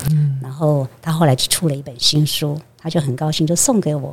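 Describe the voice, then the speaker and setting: A woman speaks at a moderate pace in a very deep, low voice. Her delivery is somewhat breathy. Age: 60s. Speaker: Buddhist monastic. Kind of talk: interview conversation.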